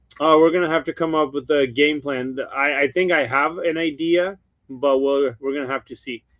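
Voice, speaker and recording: Fairly even intonation accompanies a slight Ukrainian accent. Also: man, fairly high pitch for a man. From Ukraine. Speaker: Christmas light installer. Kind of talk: live webinar interview. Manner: slower, hesitant.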